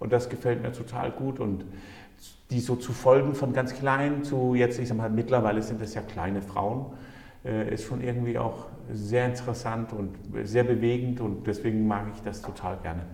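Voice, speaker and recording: Audible room echo surrounds a man's voice. He speaks at a moderate pace with fairly even intonation. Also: medium pitch for a man. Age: 40s. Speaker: mayor. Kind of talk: casual interview chat. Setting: town hall.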